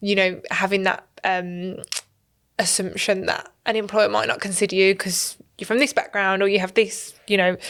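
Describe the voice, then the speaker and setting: A strong Birmingham accent at a moderate pace, with monotone, flat intonation. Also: woman, medium pitch for a woman. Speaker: university careers adviser, podcast host. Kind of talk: podcast interview.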